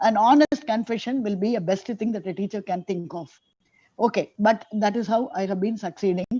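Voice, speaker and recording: Somewhat breathy and dark, mellow in tone, a woman speaks at a fairly quick pace with ordinary pitch variation. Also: medium pitch for a woman, quiet background. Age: 70s. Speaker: retired teacher. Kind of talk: audience comment in video call Q&A. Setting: video call.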